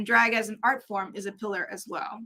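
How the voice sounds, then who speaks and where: A woman's bright, sharp tone at a fairly slow pace. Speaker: drag artist and chaplain. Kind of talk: conference talk.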